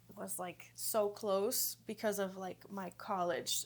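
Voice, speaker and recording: A woman talks at a medium pitch in a very clean recording with a silent background. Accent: Greek. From Greece, moved to US at 10. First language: Greek. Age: 30s. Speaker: yoga teacher. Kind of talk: podcast interview.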